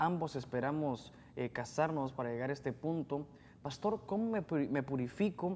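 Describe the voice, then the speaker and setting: Light background noise sits under a man talking at a moderate pace. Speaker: co-host reading listener questions. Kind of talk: reading aloud listener messages. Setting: studio. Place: studio.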